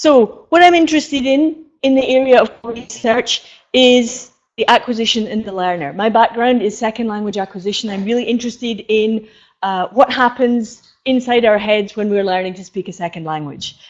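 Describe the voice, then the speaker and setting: With a Scottish accent, a woman talks at a moderate pace with ordinary pitch variation and big swings in loudness. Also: fairly high pitch for a woman. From Scotland. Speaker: professor. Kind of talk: conference lecture. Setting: stage with audience. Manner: hesitant.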